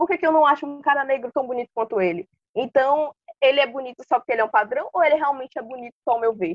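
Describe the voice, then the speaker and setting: A woman's high voice at a very fast pace, with ordinary pitch variation. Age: 20s. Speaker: university student. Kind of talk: casual chat.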